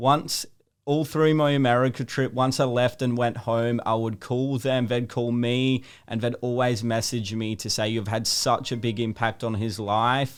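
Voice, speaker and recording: On a very clean recording with total silence behind him, a man talks in an Australian accent. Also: medium pitch for a man, moderate pace. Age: 20s. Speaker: social media video creator. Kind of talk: interview. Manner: articulate, well-spoken.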